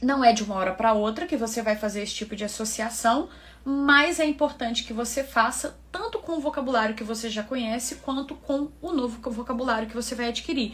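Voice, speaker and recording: A woman speaks at a fairly quick pace with a high pitch, ordinary pitch variation and hardly any pauses, over noticeable background noise. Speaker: English teacher, environmental engineer. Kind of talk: online tutorial. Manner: casual, conversational.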